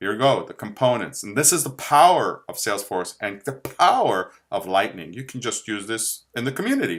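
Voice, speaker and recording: Vocal fry marks a man's medium-pitched voice at a moderate pace. His pitch makes very wide swings. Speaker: software tutorial presenter. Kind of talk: tutorial. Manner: halting, repeats words.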